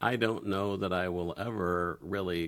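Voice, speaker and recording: A man's very deep, low voice with vocal fry, ordinary pitch variation, and a fairly slow pace, in a very clean recording with a silent background. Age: 60s. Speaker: interview guest on sex podcast. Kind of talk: casual interview. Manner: halting, many fillers.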